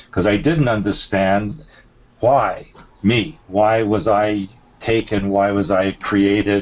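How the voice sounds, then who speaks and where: A man speaks at a fairly low pitch and a very slow pace. His pitch varies in an ordinary way while his loudness stays very even. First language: not English. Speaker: alien abduction experiencer and author. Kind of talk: interview. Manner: halting.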